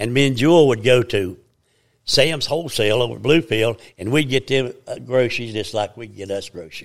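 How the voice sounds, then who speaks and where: At a moderate pace, a man with a strong Southern Appalachian accent speaks at a medium pitch with ordinary pitch variation. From US Appalachia, Virginia. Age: 80s. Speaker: church elder giving testimony. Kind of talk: testimony, storytelling. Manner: rambling, halting, repeats words.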